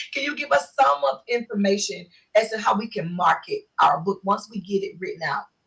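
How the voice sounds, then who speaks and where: At a fairly quick pace, a woman talks in an animated tone with vocal fry, very wide pitch swings and big swings in loudness. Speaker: talk show host. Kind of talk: interview. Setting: live video stream. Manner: fast.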